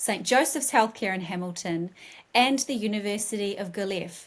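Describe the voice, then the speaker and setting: A woman's ordinary speaking voice at medium pitch, with ordinary pitch variation and a moderate pace. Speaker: communications team member. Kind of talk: scripted guest introduction.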